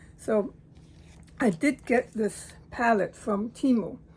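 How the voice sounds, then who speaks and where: Her pace is very slow and her voice somewhat breathy. This woman's pitch varies in an ordinary way. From Latin American heritage. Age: 60s. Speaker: hobby watercolor artist. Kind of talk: casual talk to camera.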